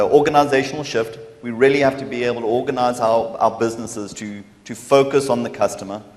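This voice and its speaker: A man with a medium-pitched voice talks at a fairly quick pace, with noticeable background noise behind him. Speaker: partner program manager. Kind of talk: conference presentation. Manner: loud.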